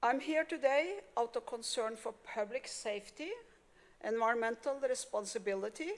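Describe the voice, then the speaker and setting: Speaking with a non-native accent, a woman uses a fairly high pitch, ordinary pitch variation and a moderate pace. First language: not English. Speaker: public commenter. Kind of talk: reading aloud. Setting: county commissioners court meeting.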